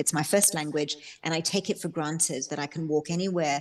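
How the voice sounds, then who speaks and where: A woman speaks at a fairly quick pace in an Australian accent. Her intonation stays fairly even against a quiet background. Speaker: novelist. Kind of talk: book club author interview. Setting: video call.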